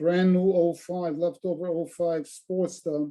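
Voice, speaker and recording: Speaking very slowly, a man uses a high pitch. His tone is dark and mellow. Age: 70s. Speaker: retired motorcyclist. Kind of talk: casual chat. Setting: video call.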